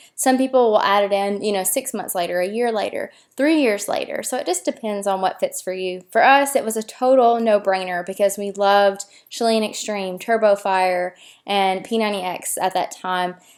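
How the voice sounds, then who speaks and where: This woman has a Tennessee accent and a medium pitch, with ordinary pitch variation at a moderate pace. The recording is very clean, with a silent background. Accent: Southern US (Tennessee). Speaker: fitness blogger and coach. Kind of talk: casual tutorial to camera.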